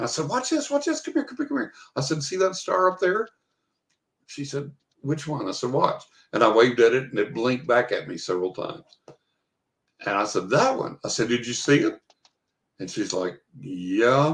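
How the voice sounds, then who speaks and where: With a West Texas accent, a man speaks at a moderate pace, broken by long, frequent pauses. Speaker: author. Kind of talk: storytelling in podcast interview.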